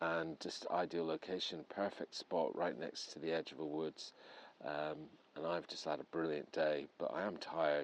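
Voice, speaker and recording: A man with an English accent and a very deep, low pitch speaks at a moderate pace in a flat monotone. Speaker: paranormal investigator vlogger. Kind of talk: vlog monologue. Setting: outdoors at night in woods; in a camper van. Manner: hesitant, many fillers.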